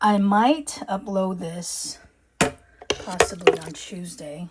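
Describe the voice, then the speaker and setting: Speaking at a very slow pace, a woman with a slight Filipino accent holds a medium pitch. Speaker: urban homesteading vlogger. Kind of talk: casual vlog talk to camera. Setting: home kitchen.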